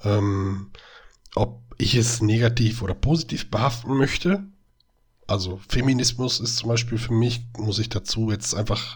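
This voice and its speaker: A man talks in a somewhat breathy, medium-pitched voice with fairly even intonation. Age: 30s. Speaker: podcast co-host, educator. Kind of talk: casual chat.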